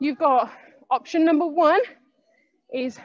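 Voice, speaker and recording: A woman speaks at a high pitch against a quiet background. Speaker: fitness instructor. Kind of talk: workout class instruction. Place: gym. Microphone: headset.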